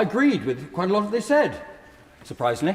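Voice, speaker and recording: This is a man speaking with an English accent. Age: 70s. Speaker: peer in parliamentary debate. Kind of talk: parliamentary speech. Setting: House of Lords chamber. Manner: formal.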